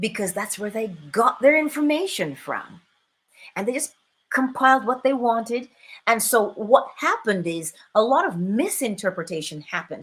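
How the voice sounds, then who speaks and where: In a Barbadian accent, a woman with a fairly high voice speaks in an animated tone with very wide pitch swings. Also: moderate pace. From Barbados. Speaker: spiritual teacher and livestream host. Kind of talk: live stream talk with chat. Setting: live stream.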